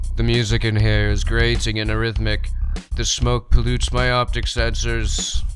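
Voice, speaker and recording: A man talks at a moderate pace in a put-on character voice. Background noise is clearly audible. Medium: game stream. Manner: precise, emotionless.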